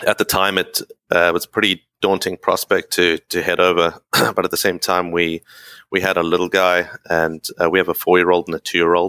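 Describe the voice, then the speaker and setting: A man with a South African accent speaks at a moderate pace in a very deep, low voice with a bright, sharp tone, flat monotone intonation and a dry, close sound with no echo. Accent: non-Canadian, South African. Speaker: expat communications professional. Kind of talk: casual interview.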